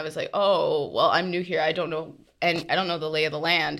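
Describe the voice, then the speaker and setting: A bright, sharp tone comes across on a very clean recording with a silent background. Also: woman. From Trinidadian heritage. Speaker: podcast co-host. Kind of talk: casual chat.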